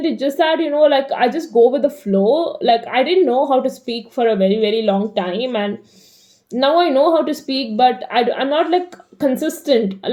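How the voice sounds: Over noticeable background noise, a woman with an American accent talks at a moderate pace in a high-pitched voice. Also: lively intonation.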